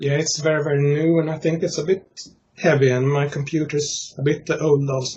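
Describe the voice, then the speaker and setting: Speaking with a Swedish accent, a man uses a fairly high pitch and monotone, flat intonation at a moderate pace. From Sweden. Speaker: interviewer, conspiracy theorist group admin. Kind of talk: casual interview. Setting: Skype call. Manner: halting, many fillers.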